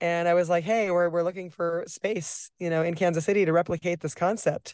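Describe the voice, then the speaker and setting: Set against a quiet background, a normal speaking voice comes across dry and close with no echo and fairly even intonation. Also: woman. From Nebraska. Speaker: cocktail bar owner. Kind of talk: interview.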